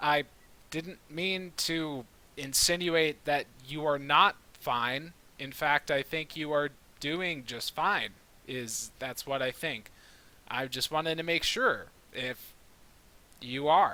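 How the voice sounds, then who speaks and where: A man's put-on, gruff character voice, fairly high in pitch, with ordinary pitch variation, a fairly slow pace and long, frequent pauses. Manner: awkward, cautious.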